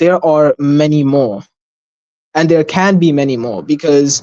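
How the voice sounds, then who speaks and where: The talker has a non-native accent and keeps a moderate pace. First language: not Arabic. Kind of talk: slide presentation on livestream. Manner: halting, many fillers.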